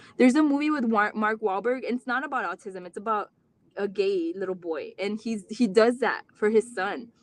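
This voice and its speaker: A woman speaks with a Mexican accent at a fairly high pitch. Her pace is moderate and her pitch variation ordinary. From Rio Grande Valley, Texas. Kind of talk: live stream talk. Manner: halting.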